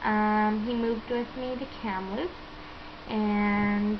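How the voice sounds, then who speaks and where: A woman's fairly high voice with a Western Canadian accent, audible room echo and noticeable background noise. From Canada, British Columbia. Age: 20s. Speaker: vlogger. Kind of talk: casual vlog talk. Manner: hesitant, many fillers.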